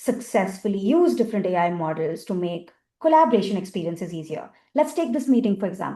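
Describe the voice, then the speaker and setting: A woman speaks with an Indian accent. Her pitch is medium. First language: Hindi. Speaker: accessibility industry expert, panelist. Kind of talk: panel discussion. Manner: animated.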